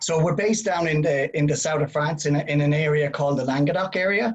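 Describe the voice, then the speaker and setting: A man with a fairly high pitch speaks at a fairly quick pace, his voice somewhat breathy and his pitch variation ordinary. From Ireland. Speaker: winery representative. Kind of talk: casual chat.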